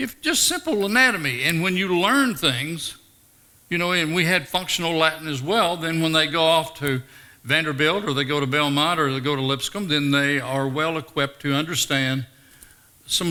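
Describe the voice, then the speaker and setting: A man with a Tennessee accent talks at a moderate pace in a fairly high pitch. His tone is bright and sharp, with ordinary pitch variation. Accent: Southern US (Tennessee). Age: 70s. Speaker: retired teacher and former pro wrestler. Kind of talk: interview testimony. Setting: chapel with live audience.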